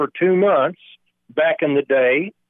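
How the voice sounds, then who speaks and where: A man talks at a fairly slow pace and fairly high pitch with ordinary pitch variation. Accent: Southern US. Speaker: caller, plant security worker. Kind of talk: casual call-in chat. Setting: phone call.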